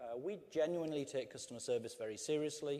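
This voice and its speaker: In an English accent, a man with a fairly high pitch and a dark, mellow tone speaks at a fairly quick pace with ordinary pitch variation. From England. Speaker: customer service executive. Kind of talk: conference talk.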